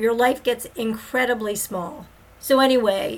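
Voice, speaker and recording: At a fairly slow pace, a plain, everyday voice moves with ordinary pitch variation. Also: woman. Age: 50s. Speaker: podcast host. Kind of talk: personal monologue.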